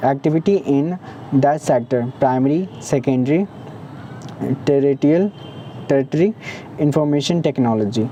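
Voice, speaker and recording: The speaker leaves long, frequent pauses. Noticeable background noise runs underneath. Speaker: teacher. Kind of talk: tutorial. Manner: fast; halting, frequent restarts and fillers.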